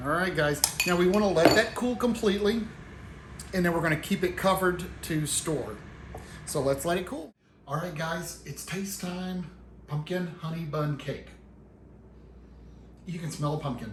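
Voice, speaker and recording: A man with a Tennessee accent, high in pitch with ordinary pitch variation, with long, frequent pauses and audible room echo. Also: moderate pace. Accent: Tennessee twang, strong on some words. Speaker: home cooking channel host. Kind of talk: cooking tutorial. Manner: casual, folksy.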